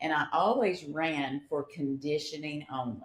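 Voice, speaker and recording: A woman speaks with a very deep, low pitch. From rural farm upbringing. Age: 60s. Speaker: retired teacher and marathon runner. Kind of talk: casual chat.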